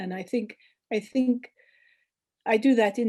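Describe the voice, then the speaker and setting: A woman speaks in a dark, mellow tone over a quiet background. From Colombia. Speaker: poet. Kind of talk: panel discussion. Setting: video call. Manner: halting.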